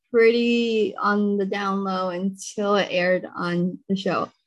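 A woman is speaking here. She has an American accent. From US Pacific Northwest, Seattle. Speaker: podcast host. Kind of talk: interview.

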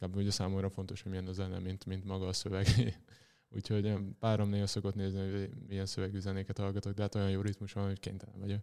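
In a dark, mellow tone, a man talks very fast in a fairly low pitch with monotone, flat intonation. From Veszprém, Hungary. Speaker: professional handball player. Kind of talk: interview. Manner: halting.

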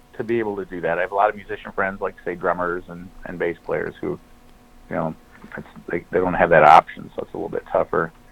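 Over noticeable background noise, a man with an American accent talks at a very fast pace with big swings in loudness. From US Midwest (Flint, Michigan). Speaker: singer and musician. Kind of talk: casual chat. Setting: phone call. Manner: rambling.

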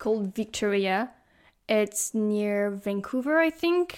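On a very clean recording with a silent background, a woman with a French accent speaks very slowly at a fairly high pitch with lively intonation. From Brittany, France. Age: 20s. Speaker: university student, exchange student.

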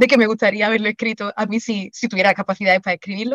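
Recorded dry and close with no echo, a woman speaks in a normal speaking voice at medium pitch. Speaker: writer and secondary school teacher. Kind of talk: interview.

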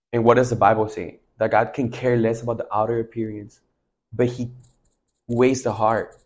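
A man with an American accent talks at a moderate pace and medium pitch, sounding somewhat breathy. The recording is very clean, with a silent background. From Mexico, then US from age eight. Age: 20s. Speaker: worship leader. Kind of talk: casual chat. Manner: animated.

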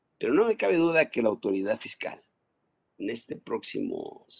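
A man's moderate-paced speech comes through dry and close, with no echo. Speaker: tax accountant. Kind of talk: casual chat.

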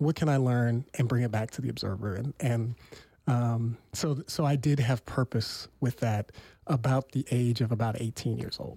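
A man's plain, everyday voice in an American accent, medium pitch, fairly even intonation, and a dry, close sound with no echo on a very clean recording with a silent background. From Sacramento, California. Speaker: newspaper publisher. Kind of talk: casual chat. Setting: studio.

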